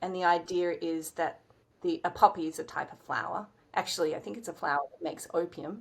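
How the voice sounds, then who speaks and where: A woman in an Australian accent talks at a moderate tempo. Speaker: writer, director, actor. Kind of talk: interview answer.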